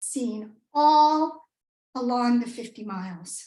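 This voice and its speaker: With an American accent, this woman talks. Her pitch swings very widely. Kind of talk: tall tale speech to a live audience.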